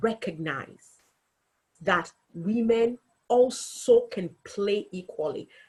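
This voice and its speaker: A woman speaks with a somewhat breathy voice. Her pitch is fairly high. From Africa. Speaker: local politician. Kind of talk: webinar talk.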